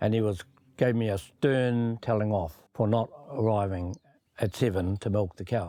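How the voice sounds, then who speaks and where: A man with a New Zealand accent speaks in a dark, mellow tone with ordinary pitch variation. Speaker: search and rescue volunteer. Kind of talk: storytelling.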